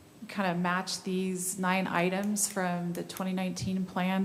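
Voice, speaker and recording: Amid audible room echo, a woman speaks at a very slow pace with a medium pitch. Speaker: city staff member. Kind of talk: public meeting discussion. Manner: halting.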